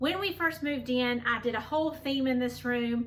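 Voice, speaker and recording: A woman with a high pitch uses a raised, projected voice at a moderate pace. Her pitch variation is ordinary, with noticeable background noise behind her. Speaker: home decor vlogger. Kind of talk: casual vlog tutorial.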